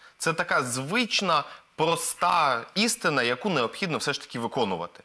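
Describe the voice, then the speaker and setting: In a quiet background, a man with a bright, sharp tone and vocal fry speaks at a moderate pace and fairly high pitch with very wide pitch swings. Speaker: political expert. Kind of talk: panel discussion. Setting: TV studio. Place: studio. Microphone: lapel.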